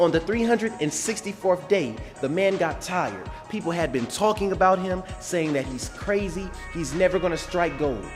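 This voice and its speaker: Music plays behind a man with a high voice. He speaks at a moderate pace with lively intonation. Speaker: preacher, motivational speaker. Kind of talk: sermon-style motivational talk to camera.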